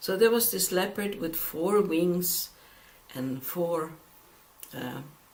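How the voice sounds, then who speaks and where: With a non-native accent, the speaker goes at a very slow pace with long, frequent pauses amid noticeable background noise. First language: not English. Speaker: Bible teacher. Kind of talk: Bible study lecture with scripture reading. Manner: halting.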